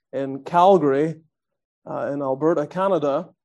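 This man has a dark, mellow tone and a Northern Irish accent. His intonation is fairly even. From Northern Ireland. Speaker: visiting preacher. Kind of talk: sermon.

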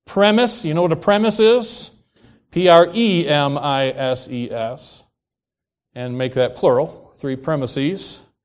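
In a very clean recording with a silent background, a man speaks at a fairly high pitch with very wide pitch swings. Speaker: preacher. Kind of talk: sermon. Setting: church. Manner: not a fast talker, fairly slow; reading from written notes, some hesitations.

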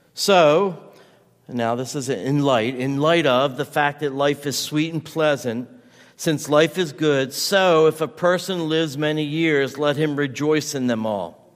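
A man with an unremarkable speaking voice talks at a fairly slow pace, his fairly high pitch showing ordinary variation. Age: 50s. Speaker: pastor. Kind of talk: sermon.

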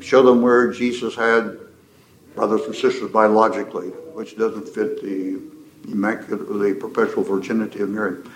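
Through noticeable background noise and audible room echo, a man speaks at a moderate pace. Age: old. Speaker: pastor. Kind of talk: lecture.

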